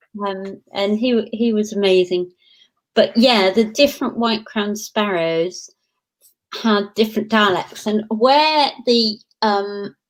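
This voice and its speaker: A very slow voice in a Lancashire accent, with ordinary pitch variation. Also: woman, fairly high pitch for a woman. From northern England, Blackpool, Lancashire. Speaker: professor. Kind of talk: interview. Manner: animated.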